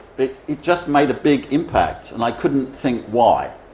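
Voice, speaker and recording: A man with a British accent speaks fairly slowly in a fairly high pitch. His pitch variation is ordinary, and audible room echo surrounds him. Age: 70s. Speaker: speaker on economics. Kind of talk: conference speech.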